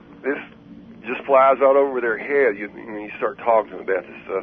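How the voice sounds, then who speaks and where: With a Texan accent, a man talks at a medium pitch with ordinary pitch variation. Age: 60s. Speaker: caller. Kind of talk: call-in radio conversation. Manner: halting.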